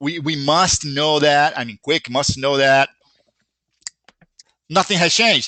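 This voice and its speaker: A man with a Brazilian accent speaks at a moderate pace in a bright, sharp tone, his fairly high pitch moving with ordinary variation. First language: Brazilian Portuguese. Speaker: software company founder. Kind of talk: live webinar Q&A.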